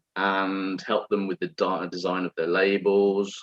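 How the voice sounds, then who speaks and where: A man talks with an English accent. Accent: very English. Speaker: wine presenter. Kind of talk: online wine masterclass presentation. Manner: hesitant, many fillers and repetitions.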